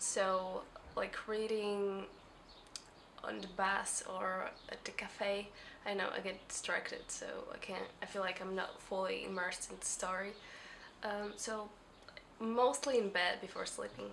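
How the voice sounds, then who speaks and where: A woman with a non-native accent mumbles at a fairly slow pace, leaving long, frequent pauses, over noticeable background noise. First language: not English. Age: 20s. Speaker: book vlogger. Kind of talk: casual talk to camera. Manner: mumbling, hesitant.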